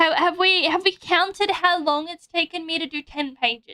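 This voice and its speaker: A woman's raised, projected voice in an Australian accent, extremely high in pitch with a bright, sharp tone, ordinary pitch variation and fairly slow pace, dry and close with no echo. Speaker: vtuber streamer. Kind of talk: casual livestream chat. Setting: livestream with drawing setup.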